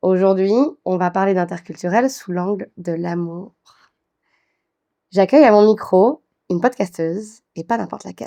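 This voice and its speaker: A woman's medium-pitched voice, dark and mellow in tone, with long, frequent pauses and a dry, close sound with no echo. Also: ordinary pitch variation, moderate pace. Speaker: podcast host, intercultural diversity speaker. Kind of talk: podcast interview.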